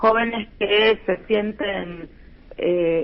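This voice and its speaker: A woman at a very slow pace with ordinary pitch variation, over noticeable background noise. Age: 60s. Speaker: lawyer and human rights activist. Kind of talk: radio interview. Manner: many fillers (eh, este).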